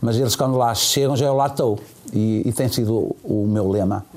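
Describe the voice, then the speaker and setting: A man talks at a fairly slow pace in a medium pitch. There is noticeable background noise. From Portugal. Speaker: bakery business owner. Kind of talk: interview.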